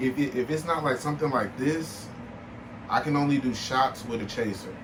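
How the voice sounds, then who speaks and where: An animated man at a moderate pace, with audible room echo and noticeable background noise. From Milwaukee, Wisconsin, US Midwest. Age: 20s. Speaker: podcast host. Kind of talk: casual chat.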